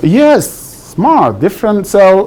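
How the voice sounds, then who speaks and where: Over noticeable background noise, a man with a Sudanese accent speaks at a moderate pace. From Sudan (Khartoum), Nubian. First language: Sudanese Arabic. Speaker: guest presenter to school class. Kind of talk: classroom presentation. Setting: middle school classroom. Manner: conversational, frequent 'right?' checks.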